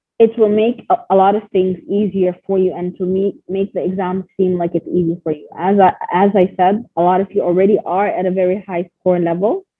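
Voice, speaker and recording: An ordinary speaking voice moves at a moderate pace with fairly even intonation. There are hardly any pauses. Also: woman, medium pitch for a woman. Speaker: IELTS teacher. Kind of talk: online class lecture.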